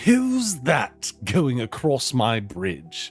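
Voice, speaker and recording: A man bellows loudly in a put-on character voice at a medium pitch. Faint music plays in the background. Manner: bellowing in a rage.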